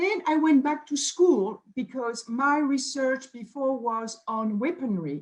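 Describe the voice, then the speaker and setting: A woman speaks with lively intonation in a French accent. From France, Bordeaux. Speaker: nutrition scientist. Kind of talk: self-introduction on a company video.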